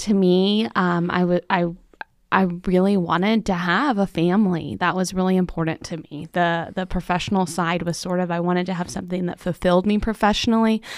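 A woman with a plain, everyday voice and an American accent, medium in pitch, at a fairly quick pace with fairly even intonation, on a very clean recording with a silent background. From Central Florida. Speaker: chamber of commerce CEO. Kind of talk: interview conversation. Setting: studio.

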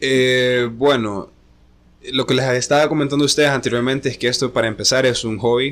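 Using an unremarkable speaking voice, a man talks at a fairly quick pace and medium pitch with fairly even intonation. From Honduras, La Ceiba (north coast). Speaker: DJ. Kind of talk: casual chat. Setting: hotel room.

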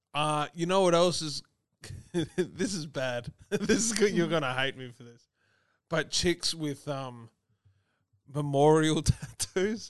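This man's voice sits fairly high, with lively intonation and big swings in loudness. He talks at a very slow pace, leaving long, frequent pauses. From Ireland. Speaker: podcast co-host. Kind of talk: casual chat.

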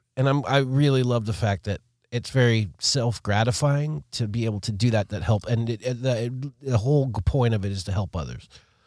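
A man with a plain, everyday voice speaks fairly quickly at medium pitch with ordinary pitch variation, in a very clean recording with a silent background. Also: hardly any pauses. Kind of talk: casual banter, two-host podcast chat. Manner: laid-back, rambling, laughing.

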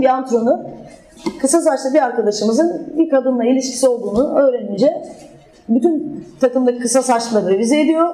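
Through noticeable background noise, a woman with a high voice speaks with ordinary pitch variation. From southern Turkey, Adana. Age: 20s. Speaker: former handball player, talk speaker. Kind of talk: public talk with slides.

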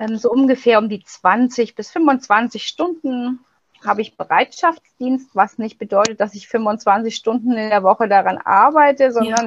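A woman at a fairly slow pace, with big swings in loudness, ordinary pitch variation and a dry, close sound with no echo. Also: fairly high pitch for a woman. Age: 40s. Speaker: pregnancy crisis counselor. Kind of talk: interview. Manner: hesitant, many fillers.

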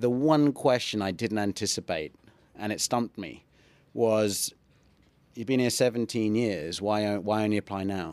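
Fairly low male speech on a very clean recording, background silent. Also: ordinary pitch variation, moderate pace. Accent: English. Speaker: ring announcer and fitness YouTuber. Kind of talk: casual chat. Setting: studio.

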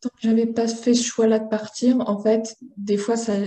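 Very slow, monotone woman's voice, fairly high in pitch, somewhat breathy, with a dark, mellow tone. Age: 20s. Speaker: laboratory technician and interview guest. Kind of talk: personal testimony interview.

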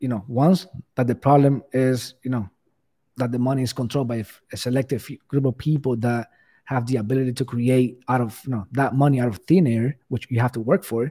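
Heard in a very clean recording against a silent background, a man with a Spanish accent speaks at medium pitch and a moderate pace, his tone dark and mellow and his intonation fairly even. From Cuba. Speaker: bitcoin enthusiast guest. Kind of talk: casual interview chat.

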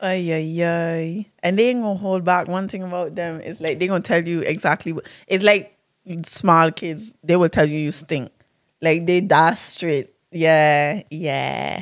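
Recorded very cleanly against a silent background, a woman speaks in a fairly low voice. Her tone is animated and her pace fairly slow. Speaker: podcast co-host. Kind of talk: casual chat. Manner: animated, casual.

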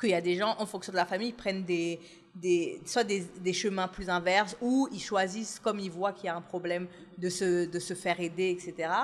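With fairly even intonation, a woman uses a normal speaking voice at a medium pitch. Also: moderate pace. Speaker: podcast host. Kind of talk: casual chat.

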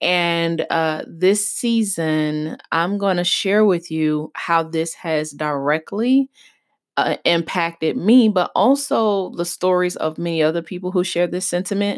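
In an ordinary speaking voice, a woman speaks fairly slowly at a fairly low pitch with ordinary pitch variation. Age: 30s. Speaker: podcast host and business coach. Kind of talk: solo podcast monologue.

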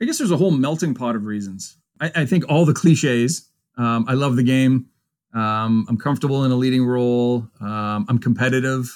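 A man with a Canadian accent and an unremarkable speaking voice talks fairly quickly at a medium pitch with ordinary pitch variation, on a very clean recording with a silent background. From Ontario, Canada. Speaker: university hockey coach. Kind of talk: interview.

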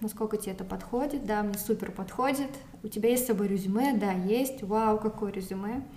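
With noticeable background noise, a woman speaks at a moderate pace in a fairly high voice with ordinary pitch variation. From Moscow, Russia. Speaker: recent immigrant. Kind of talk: casual interview. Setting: in person at her home.

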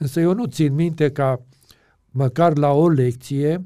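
A man with a dark, mellow tone speaks at a very slow pace with ordinary pitch variation. The recording is very clean, with a silent background. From Romania, Transylvania (Aiud). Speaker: pastor and Bible teacher. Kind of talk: interview.

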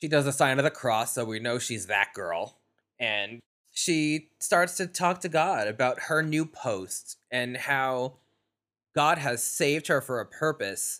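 Bright and sharp in tone, a man with an American accent speaks at a fairly high pitch with lively intonation over a very clean, silent background. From New York. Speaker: podcast host. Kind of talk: casual chat.

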